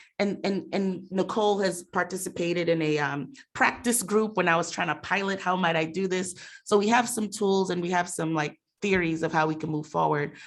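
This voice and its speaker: The woman has a plain, everyday voice with an American accent, a fairly low pitch, ordinary pitch variation and a moderate pace. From Mount Vernon, New York. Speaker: racial equity director at a nonprofit. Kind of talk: panel discussion. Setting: room with audience and Zoom.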